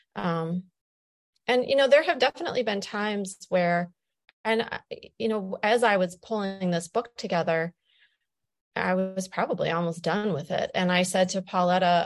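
A woman with a Midwestern American accent speaks at a moderate pace and medium pitch, with ordinary pitch variation, against a quiet background. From Ohio, US (Wood County). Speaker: poet and doula. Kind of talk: interview with poetry readings. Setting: virtual event via video call.

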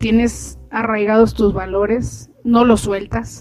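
A woman is speaking. Her pitch is fairly high. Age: 50s. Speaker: podcast host and doctor. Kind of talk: casual interview.

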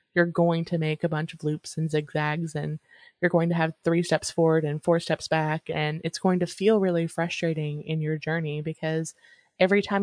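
With a dry, close sound, no echo and a quiet background, a woman talks in an ordinary speaking voice with fairly even intonation. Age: 30s. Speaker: podcast co-host. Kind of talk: casual chat.

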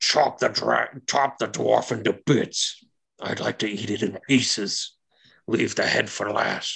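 Using a put-on character voice, a man speaks at a fairly slow pace with a fairly low pitch. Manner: mocking, barking, cruel.

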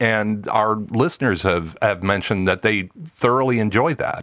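A man with an unremarkable speaking voice and an American accent, at a moderate pace with ordinary pitch variation. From US Midwest, Wisconsin. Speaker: professional voice actor and podcast producer. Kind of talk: casual interview conversation.

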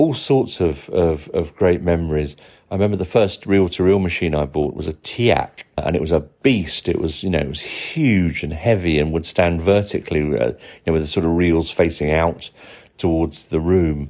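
In a British accent, a man with a very deep, low pitch and a dark, mellow tone talks at a moderate pace with ordinary pitch variation. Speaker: listener contributor. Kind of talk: recorded voice message. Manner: halting.

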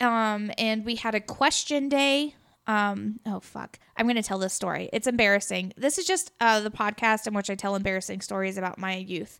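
An ordinary speaking voice at a moderate pace with hardly any pauses and ordinary pitch variation, in a very clean recording with a silent background. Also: woman, fairly high pitch for a woman. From Missouri, US Midwest. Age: 20s. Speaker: high school teacher and podcast co-host. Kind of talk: casual chat.

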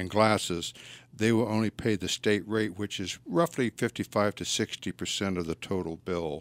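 Recorded very cleanly against a silent background, a man with an American accent talks at a fairly low pitch with ordinary pitch variation, the sound dry and close with no echo. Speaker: veterans agent, navy veteran. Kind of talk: radio interview. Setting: studio.

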